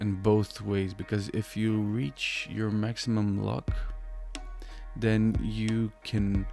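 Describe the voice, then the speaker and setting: Over music in the background, a man with a non-native accent speaks at a very slow pace. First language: not English. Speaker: sim racing drift tutorial host. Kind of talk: casual tutorial talk. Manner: hesitant, many fillers.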